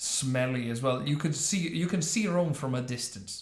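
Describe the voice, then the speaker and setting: A man in an Italian accent at a moderate pace, with ordinary pitch variation and audible room echo. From northern Italy, Trieste. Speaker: YouTube commentator. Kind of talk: reaction video commentary. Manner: halting, many fillers.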